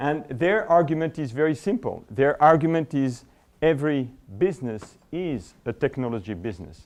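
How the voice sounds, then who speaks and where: A man speaks with a French accent and lively intonation. The background is quiet. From France, Paris. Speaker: business school administrator. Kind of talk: conference presentation. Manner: halting, many fillers and repeats.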